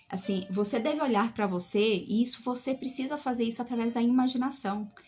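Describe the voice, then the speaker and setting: A woman's fairly high voice at a moderate pace, ordinary pitch variation, music in the background. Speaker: bible teacher. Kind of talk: live online bible study.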